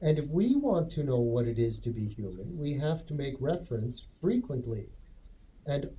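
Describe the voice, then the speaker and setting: Audible room echo surrounds a man speaking at a moderate pace. His voice is fairly high-pitched yet dark and mellow in tone, somewhat breathy, with lively intonation. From western Canada, Edmonton. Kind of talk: casual chat.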